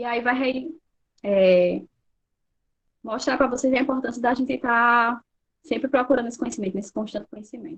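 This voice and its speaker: A woman speaks at a high pitch with ordinary pitch variation. She leaves long, frequent pauses. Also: moderate pace. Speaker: social worker and lecturer. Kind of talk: online lecture. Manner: animated.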